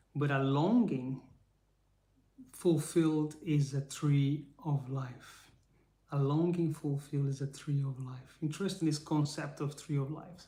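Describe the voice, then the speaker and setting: In a Brazilian accent, a man speaks fairly slowly at a fairly high pitch, his dark, mellow tone somewhat breathy and his intonation fairly even. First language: Portuguese. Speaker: faith-based motivational speaker. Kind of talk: live stream teaching. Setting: live stream. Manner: halting.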